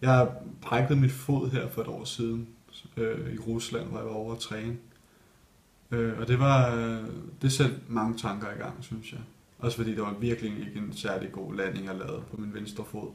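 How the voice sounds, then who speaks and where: This man talks at a moderate pace with a medium pitch and fairly even intonation. His loudness swings widely. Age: 20s. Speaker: ballet dancer. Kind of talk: interview. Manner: hesitant, many fillers.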